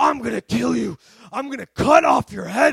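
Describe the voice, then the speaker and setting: Raspy and menacing, a put-on character voice moves along at a moderate pace. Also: man. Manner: menacing, shouting.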